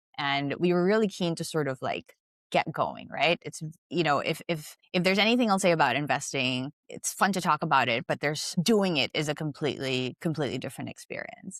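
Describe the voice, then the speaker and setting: With a very deep, low pitch and lively intonation, a woman speaks on a very clean recording with a silent background and a dry, close sound with no echo. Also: fairly quick pace. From Philippines (Manila). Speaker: investment director. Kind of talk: podcast interview.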